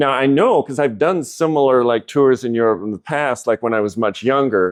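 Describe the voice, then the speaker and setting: A man speaks at a fairly quick pace in a normal speaking voice, medium in pitch with ordinary pitch variation, the sound dry and close with no echo. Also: quiet background. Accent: American. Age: 60s. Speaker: amateur cyclist. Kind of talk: podcast interview.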